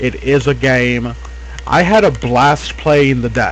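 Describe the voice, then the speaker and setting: Noticeable background noise sits behind the recording. A man talks at a fairly slow pace. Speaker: gaming video host. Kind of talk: casual video commentary. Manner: loud.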